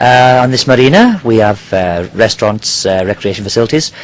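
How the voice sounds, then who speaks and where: With a British accent, this voice moves along at a moderate pace. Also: man. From Nigeria. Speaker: diving company worker. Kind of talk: interview. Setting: on a yacht in a marina. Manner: hesitant, many fillers.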